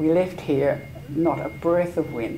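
Light background noise sits behind a woman speaking with an Australian accent. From Australia, Sydney. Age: 70s. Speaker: veteran yachtswoman, club life member. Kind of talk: oral history interview. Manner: halting. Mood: warm, animated. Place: home room. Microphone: lapel.

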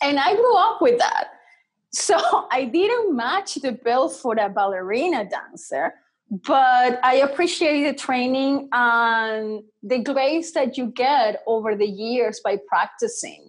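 Against a quiet background, a woman talks at a very slow pace in a high pitch with very wide pitch swings. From Venezuela. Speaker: mixed media artist; podcast guest. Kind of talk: casual interview. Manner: animated. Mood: warm, reflective. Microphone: earbuds.

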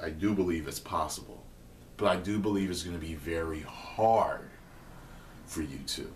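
Over light background noise, a man talks at a very deep, low pitch with ordinary pitch variation, sounding somewhat breathy. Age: 30s. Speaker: online video host answering viewer questions. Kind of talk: casual advice monologue. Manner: casual, hesitant with fillers. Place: kitchen. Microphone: webcam.

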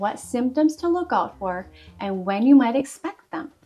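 Faint music sits in the background as a woman speaks at a moderate pace. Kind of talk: educational explainer. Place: home room.

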